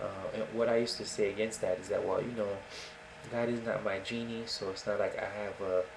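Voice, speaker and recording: A soft-spoken man amid noticeable background noise and audible room echo. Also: fairly quick pace. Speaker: atheist video blogger. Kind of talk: casual monologue. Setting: home recording in a dark room. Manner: hesitant.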